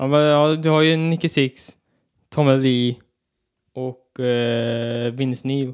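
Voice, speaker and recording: A man with a West Swedish accent speaks at a very slow pace, with long, frequent pauses. His medium-pitched voice has fairly even intonation. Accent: West Swedish (Västgöta) dialect. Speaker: podcast co-host. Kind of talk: casual chat.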